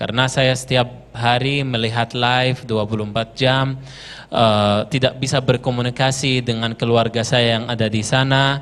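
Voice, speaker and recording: Speaking with an Arabic accent, a man keeps a monotone, flat intonation and hardly pauses at all. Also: medium pitch for a man, moderate pace. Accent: Arabic accent in Indonesian. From Gaza, Palestine. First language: Arabic (speaking Indonesian). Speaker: Palestinian guest speaker. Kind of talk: interview testimony. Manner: halting, many fillers.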